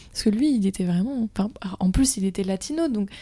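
At a fairly quick pace, a woman speaks with a dark, mellow tone, a somewhat breathy quality and medium pitch. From Brittany, France. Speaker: student podcast host. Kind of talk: casual interview.

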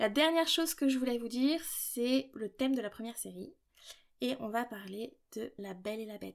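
Over a silent background on a very clean recording, a woman speaks fairly quickly with a fairly high pitch and ordinary pitch variation. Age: 20s. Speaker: podcast host and doctoral student in literature. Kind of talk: solo podcast monologue. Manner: casual, light tone.

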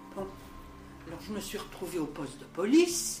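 Her pitch sitting in the medium range, a woman speaks with very wide pitch swings. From Paris area and Le Mans. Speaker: host's mother. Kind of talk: life story interview.

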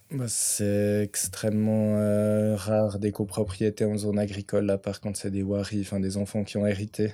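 The man's pitch is fairly low, his tone dark and mellow. He speaks in a monotone, flat way with hardly any pauses. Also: moderate pace. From Switzerland, Vaud region (near Orbe). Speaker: farmer. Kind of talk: interview.

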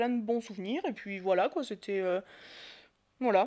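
A woman talking at a very fast pace. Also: quiet background. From Marseille, southern France. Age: 30s. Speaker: podcast guest. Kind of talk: casual chat.

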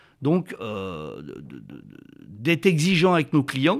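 On a very clean recording with a silent background, a man talks at a fairly slow pace with lively intonation. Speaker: company director. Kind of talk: interview. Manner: halting, with frequent repetitions.

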